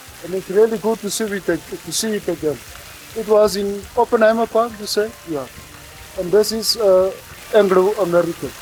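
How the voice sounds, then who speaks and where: The voice keeps a moderate pace. Music plays in the background. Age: 60s. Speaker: tour participant. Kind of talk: casual reminiscence.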